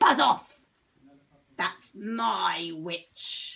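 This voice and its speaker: A woman puts on a character voice at a medium pitch that is croaky, shrill and growling. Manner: fierce, aggressive.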